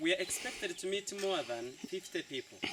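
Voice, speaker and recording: There is noticeable background noise. A man with a high voice talks with very wide pitch swings. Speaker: local tour guide. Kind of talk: guided tour talk.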